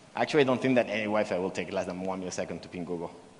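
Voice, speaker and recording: A man speaks with lively intonation, with audible room echo around him. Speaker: developer advocate, conference speaker. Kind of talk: conference keynote with live coding. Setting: stage at a conference.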